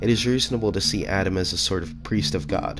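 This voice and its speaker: A man with a very deep, low pitch talks while music plays in the background. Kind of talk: explanatory voiceover narration.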